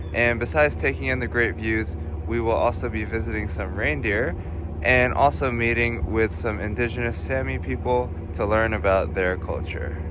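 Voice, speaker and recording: A man speaking at a fairly slow pace, pitch swinging very widely, with noticeable background noise and audible room echo. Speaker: travel vlogger. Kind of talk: travel vlog narration.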